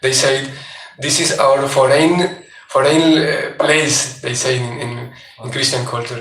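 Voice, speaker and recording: With a non-native accent and a fairly high pitch, a man speaks at a very slow pace amid noticeable background noise and audible room echo. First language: not English. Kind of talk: religious class lecture. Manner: halting.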